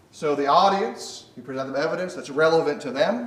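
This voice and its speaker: A man with an American accent speaks loud, with lively intonation. Audible room echo surrounds his voice. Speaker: preacher. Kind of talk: sermon.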